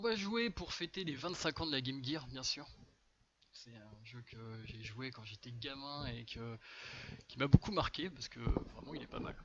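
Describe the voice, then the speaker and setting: Lively in intonation but with big swings in loudness, a man of medium pitch speaks at a fairly slow pace with long, frequent pauses. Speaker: speedrunner streaming for charity. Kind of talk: live gameplay commentary. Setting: live stream charity event. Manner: hesitant, many fillers.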